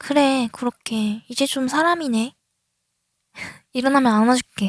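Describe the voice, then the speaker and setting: A woman's high voice, with ordinary pitch variation, moves at a very slow pace in a dry, close sound with no echo. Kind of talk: ASMR roleplay, girlfriend waking her boyfriend. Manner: soft-spoken, affectionate.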